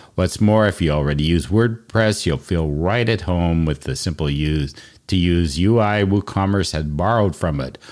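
This is a man with a very deep, low voice. His pitch varies in an ordinary way. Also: moderate pace. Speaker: podcast host. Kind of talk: casual interview chat.

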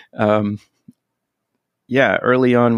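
A man's fairly even intonation on a very clean recording with a silent background, dry and close with no echo

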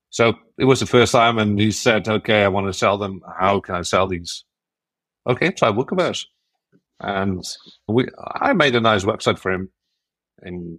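At a moderate pace, a man with a Dutch accent speaks with fairly even intonation in a very clean recording with a silent background. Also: long, frequent pauses. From Netherlands. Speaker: WordCamp organizer and WordPress builder. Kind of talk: casual interview chat.

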